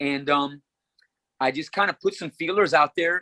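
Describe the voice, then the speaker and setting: A man speaks at a fairly quick pace in an animated, bright, sharp tone. The sound is dry and close, with no echo. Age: 60s. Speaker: rock vocalist and guitarist, worship leader. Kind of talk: interview.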